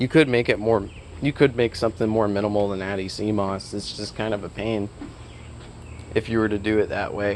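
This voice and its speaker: Fairly quick and fairly low in pitch, a man talks in an unremarkable speaking voice. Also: fairly even intonation. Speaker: software developer. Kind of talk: dev log.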